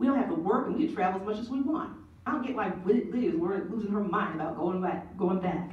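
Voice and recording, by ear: A natural voice reading aloud.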